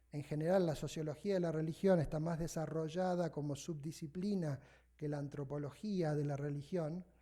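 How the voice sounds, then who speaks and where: A man with a dark, mellow tone speaks with ordinary pitch variation. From Argentina, Buenos Aires. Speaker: sociologist of religion, invited lecturer. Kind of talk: academic lecture. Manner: fast.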